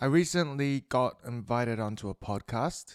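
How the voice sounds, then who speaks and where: A man mumbling at a very slow pace with lively intonation, dry, close sound with no echo, very clean recording, silent background. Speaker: podcaster. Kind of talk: casual monologue.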